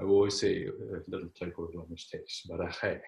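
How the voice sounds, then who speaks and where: Someone with a German accent speaks at a moderate pace. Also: man. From Germany. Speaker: medical intuitive, energy healer. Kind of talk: interview about spiritual healing. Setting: video call. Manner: halting, with frequent repetitions.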